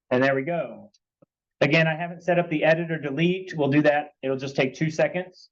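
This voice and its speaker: A man with a normal speaking voice talks at a fairly quick pace and fairly high pitch, keeping his intonation fairly even. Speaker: coding instructor. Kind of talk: lecture.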